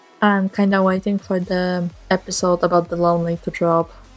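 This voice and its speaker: A woman speaks at a medium pitch and moderate pace. Music plays in the background. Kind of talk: casual voice-over commentary on a speedpaint. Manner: monotone, low-energy.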